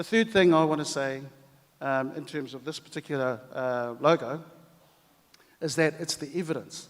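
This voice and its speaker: Speaking in a New Zealand accent, a man keeps a moderate pace and a fairly high pitch with ordinary variation. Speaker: language commission head. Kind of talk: conference speech.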